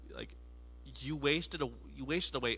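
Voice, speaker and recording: A man speaks at a moderate pace with vocal fry. His tone is bright and sharp. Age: 20s. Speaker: pastor. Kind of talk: sermon. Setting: studio with camera, alone at a table. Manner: casual, halting with many fillers.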